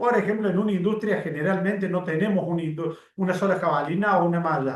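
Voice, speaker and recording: Speaking at a very fast pace, a man with a high pitch keeps his loudness very even and his pitch variation ordinary. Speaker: teacher of occupational safety. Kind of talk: lecture.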